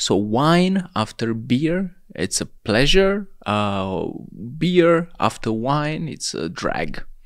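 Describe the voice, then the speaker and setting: At a very slow pace, a man speaks with a fairly high pitch and very wide pitch swings. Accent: Romanian. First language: Romanian. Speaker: hemp clothing entrepreneur. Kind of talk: casual interview chat.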